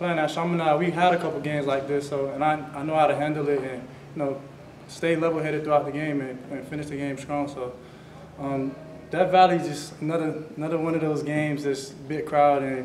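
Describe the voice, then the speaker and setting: Over light background noise and audible room echo, a man talks at a fairly quick pace with monotone, flat intonation. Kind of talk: interview answer. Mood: relaxed, smiling. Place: meeting room. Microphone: podium.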